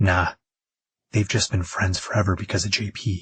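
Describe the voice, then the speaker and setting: In a gruff, put-on character voice, a man speaks at a fairly low pitch and a moderate pace with fairly even intonation, the sound dry and close with no echo. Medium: read story.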